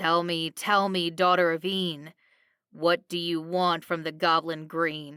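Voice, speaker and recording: In a put-on character voice, a woman speaks at a fairly low pitch with monotone, flat intonation. Her pace is fairly slow with long, frequent pauses, on a very clean recording with a silent background. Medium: read story. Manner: sly, teasing.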